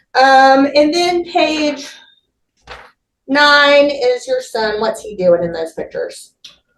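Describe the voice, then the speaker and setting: Speaking at a very slow pace with long, frequent pauses, a woman's high voice moves through very wide pitch swings and big swings in loudness, with audible room echo around it. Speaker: defense attorney. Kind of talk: courtroom examination.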